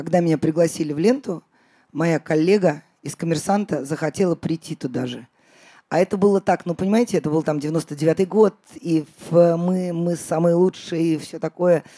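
Dry and close with no echo, a woman's voice has a dark, mellow tone, fairly low pitch, ordinary pitch variation and a moderate pace. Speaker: podcast host. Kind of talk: live podcast recording answering listener questions.

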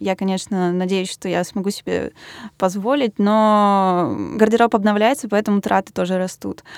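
With a normal speaking voice, a woman talks at a medium pitch and moderate pace, with fairly even intonation and a dry, close sound with no echo. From Russia, Yaroslavl. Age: 20s. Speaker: designer. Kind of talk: interview.

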